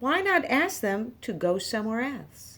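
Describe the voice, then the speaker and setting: A woman puts on a character voice, pitched high. It moves at a moderate pace with very wide pitch swings. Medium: read story. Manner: calm, matter-of-fact.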